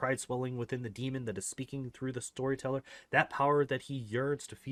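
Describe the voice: Heard here is plain reading aloud.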